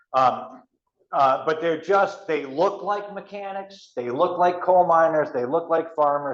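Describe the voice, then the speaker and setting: A man speaks with an American accent. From West Virginia. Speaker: storyteller and author. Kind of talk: author talk to audience.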